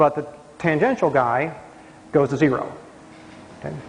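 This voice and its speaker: Noticeable background noise sits behind a man with a fairly high voice. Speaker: mathematics professor. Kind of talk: lecture. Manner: fast.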